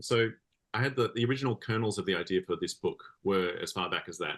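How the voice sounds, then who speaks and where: Speaking at a very fast pace, a man with an Australian accent holds a medium pitch. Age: 40s. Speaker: comics creator and musician. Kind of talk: interview conversation. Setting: podcast interview.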